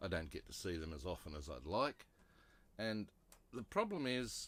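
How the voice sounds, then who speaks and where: A man with an Australian accent, fairly low-pitched with vocal fry, very wide pitch swings and a moderate pace. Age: 60s. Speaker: vlogger. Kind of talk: casual talk to camera.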